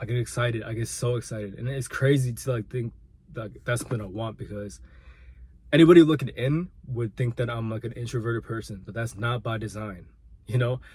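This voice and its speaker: At a fairly quick pace, a man talks in a somewhat breathy voice of medium pitch. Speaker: vlogger and aspiring musician. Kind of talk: personal vlog monologue. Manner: halting, repeats words.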